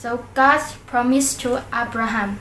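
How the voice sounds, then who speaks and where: A woman's raised, projected voice with a Central Highlands Vietnamese accent, noticeable background noise, and audible room echo. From Central Highlands of Vietnam. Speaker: YouTuber. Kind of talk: reading aloud. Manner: halting.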